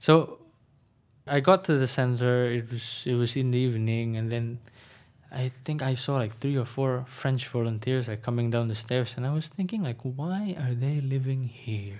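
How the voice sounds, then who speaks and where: Speaking in an Indonesian accent, a man uses a medium pitch, ordinary pitch variation and a moderate pace. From Indonesia, Jakarta. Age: 20s. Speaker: student and former volunteer English trainer. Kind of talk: casual interview.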